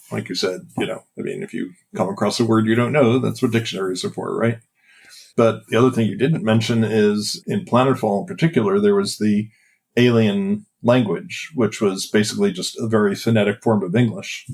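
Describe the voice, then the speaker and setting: An ordinary speaking voice, a man of medium pitch with an American accent, ordinary pitch variation and a fairly quick pace. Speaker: game designer. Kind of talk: interview.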